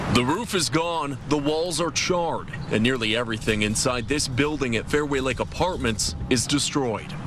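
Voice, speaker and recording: Over noticeable background noise, a man with an American accent speaks at a fairly high pitch with ordinary variation and very even loudness. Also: moderate pace, hardly any pauses. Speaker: TV news anchor and reporter. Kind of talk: field reporter package narration.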